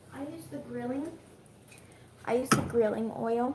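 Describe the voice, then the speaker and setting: Speaking at a fairly quick pace, a woman is heard over noticeable background noise. Audible room echo surrounds her voice. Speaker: YouTuber. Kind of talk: cooking tutorial. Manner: casual, hesitant with ums; whispering.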